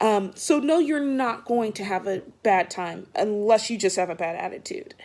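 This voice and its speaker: Loud and very slow, a woman speaks at a fairly high pitch with very wide pitch swings. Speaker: vlogger giving job interview advice. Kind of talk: casual advice vlog. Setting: at home, just woke up.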